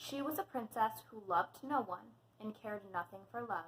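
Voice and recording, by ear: Text is being read aloud. It comes in a natural voice.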